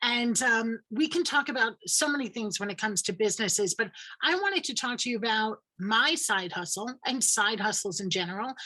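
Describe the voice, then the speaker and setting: A woman with a New York accent talks at a fairly quick pace with lively intonation and hardly any pauses. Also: fairly high pitch for a woman. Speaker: credit coach. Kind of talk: presentation.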